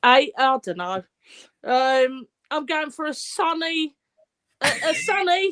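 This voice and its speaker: A woman with a high pitch and very wide pitch swings, at a very slow pace with long, frequent pauses, in a dry, close sound with no echo. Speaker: fan podcast host. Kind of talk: casual chat. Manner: loud.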